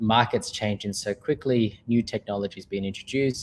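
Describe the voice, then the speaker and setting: The recording is very clean, with a silent background. A man speaks in an Australian accent with fairly even intonation. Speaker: company manager, sponsor speaker. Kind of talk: presentation. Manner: many filler words.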